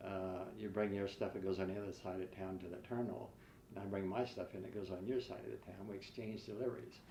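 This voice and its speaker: In a room with audible echo and noticeable background noise, a man with an American accent talks at a very fast pace and a fairly low pitch. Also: fairly even intonation. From US Midwest (rural western Ohio). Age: 80s+. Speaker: retired florist and businessman. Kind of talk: oral history interview. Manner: halting, many fillers.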